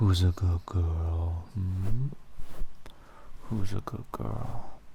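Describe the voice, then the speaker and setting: Soft-spoken and soothing in tone, the voice moves at a very slow pace over music in the background. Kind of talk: ASMR affirmation role-play, soft-spoken petting talk. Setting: studio. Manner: soft-spoken, soothing.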